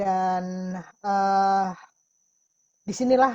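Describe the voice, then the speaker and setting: Here a woman speaks in a somewhat breathy voice. Her sound is dry and close, with no echo. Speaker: testimony giver in a webinar. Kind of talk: testimony. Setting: video call.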